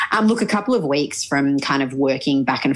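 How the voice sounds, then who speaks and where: A woman with an Australian accent speaks at a moderate pace in a very deep, low voice, with noticeable background noise behind her. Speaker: journalist and newsreader. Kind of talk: interview. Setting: video call.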